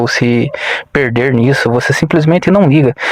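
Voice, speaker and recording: Over noticeable background noise, a man speaks at a moderate pace and a fairly high pitch with ordinary pitch variation, the sound dry and close with no echo. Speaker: motivational content creator. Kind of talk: reflective motivational monologue. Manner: conversational, informal asides.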